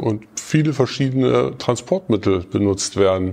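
A man talks at a very slow pace against noticeable background noise. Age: 40s. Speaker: social worker at a youth welfare office, staff council candidate. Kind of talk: interview.

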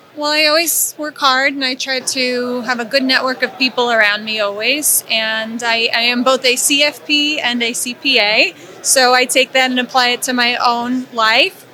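A woman speaks at a fairly slow pace in a high voice, with fairly even intonation, hardly any pauses, and noticeable background noise. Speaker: accountant. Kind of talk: interview.

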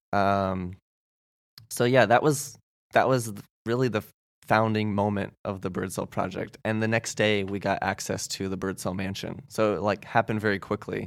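Against a silent background on a very clean recording, a man speaks with a US Midwestern accent in a fairly low pitch. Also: fairly even intonation, moderate pace. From Indiana, US Midwest (Goshen). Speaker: house concert organizer. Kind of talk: casual interview chat.

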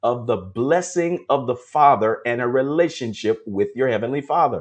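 A fairly high-pitched man talks in an unremarkable speaking voice, keeping a moderate pace. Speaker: prophetic ministry preacher. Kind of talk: devotional sermon with prayer. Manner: fervent, exhorting, call-and-response.

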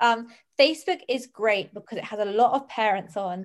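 A woman speaks with a British accent. Her pitch is fairly high, with ordinary variation. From Jersey, Channel Islands. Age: 20s. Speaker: entrepreneur. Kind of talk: casual chat.

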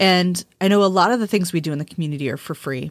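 Over a silent background in a very clean recording, the speaker moves at a fairly quick pace with ordinary pitch variation. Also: woman. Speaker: witchcraft podcast host and author. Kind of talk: casual conversational podcast discussion.

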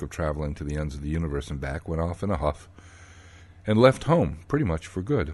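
Against a quiet background, a man speaks at a fairly quick pace in an animated tone with lively intonation. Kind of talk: storytelling. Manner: animated, wry and conversational.

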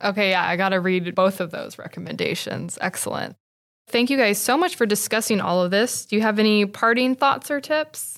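With a normal speaking voice, a woman at medium pitch talks at a fairly quick pace with ordinary pitch variation. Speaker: podcast host, library media specialist. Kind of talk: interview podcast.

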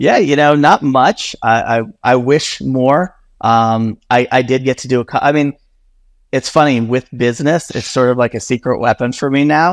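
A man with a plain, everyday voice talks at a medium pitch and a moderate pace with ordinary pitch variation, in a dry, close sound with no echo on a very clean recording with a silent background. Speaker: communications executive at influencer marketing firm. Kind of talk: casual interview chat.

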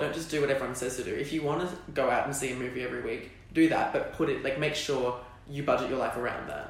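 With an Australian accent, a man rattles along at a very fast pace over noticeable background noise and audible room echo. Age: young. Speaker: drama student. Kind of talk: casual interview.

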